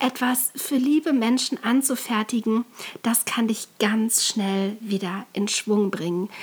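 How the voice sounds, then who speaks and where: A woman talks at a very slow pace with a fairly high pitch and ordinary pitch variation over noticeable background noise. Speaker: podcast host and calligrapher. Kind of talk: solo podcast tutorial.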